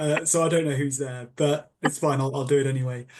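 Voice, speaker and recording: At a moderate pace, a man talks with a British accent. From England. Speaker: lawyer. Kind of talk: panel discussion. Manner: halting.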